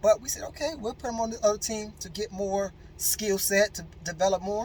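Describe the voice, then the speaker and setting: A man's high, animated voice at a moderate pace over noticeable background noise. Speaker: motivational speaker. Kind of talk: motivational talk.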